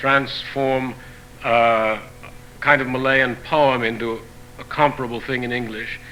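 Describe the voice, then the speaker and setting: A man at medium pitch, with noticeable background noise. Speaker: poet. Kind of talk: talk to audience about his translations.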